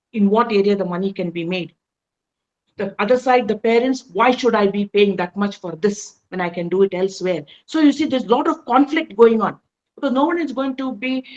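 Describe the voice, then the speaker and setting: A woman with a fairly high pitch, ordinary pitch variation, and a fairly quick pace. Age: 60s. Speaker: veteran educator and school advisor. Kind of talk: podcast interview. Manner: halting, many fillers.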